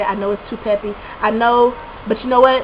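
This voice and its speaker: Against noticeable background noise, the speech runs at a very fast pace with ordinary pitch variation. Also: woman. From Alabama, Montgomery. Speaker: college student vlogger. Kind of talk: casual advice vlog. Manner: animated.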